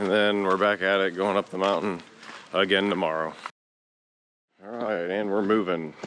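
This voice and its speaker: With an American accent, the speaker keeps a moderate pace and monotone, flat intonation, broken by long, frequent pauses. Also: man. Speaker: vlogger and conservation crew member. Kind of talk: vlog narration. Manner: casual.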